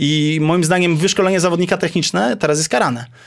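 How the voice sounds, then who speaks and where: A man's high-pitched voice at a very fast pace. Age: 30s. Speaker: basketball coach. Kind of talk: casual interview.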